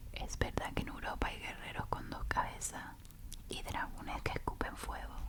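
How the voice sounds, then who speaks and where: A woman whispering at a moderate pace over noticeable background noise. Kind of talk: sleep story reading aloud. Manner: whispered, soft.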